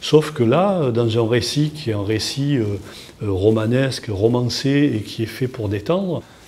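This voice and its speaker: With noticeable background noise behind him, a man with a southern French accent speaks at a fairly slow pace in a medium pitch with lively intonation. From southern France, Toulon. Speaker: comic book artist. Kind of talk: interview. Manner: halting, many repetitions and fillers.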